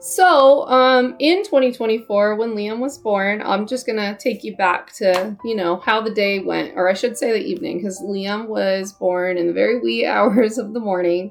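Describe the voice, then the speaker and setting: With hardly any pauses, the speaker uses an American accent at a moderate pace and ordinary pitch variation over noticeable background noise. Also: woman, fairly high pitch for a woman. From California. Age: 30s. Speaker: parent vlogger, army veteran. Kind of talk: personal storytelling vlog. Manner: casual, uses fillers.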